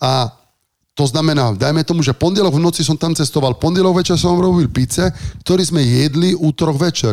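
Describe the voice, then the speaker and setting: A man with an Italian accent speaks at a fairly quick pace in a fairly high voice, his loudness very even, on a very clean recording with a silent background. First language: Italian (speaking Slovak). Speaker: chef and restaurateur. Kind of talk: casual interview.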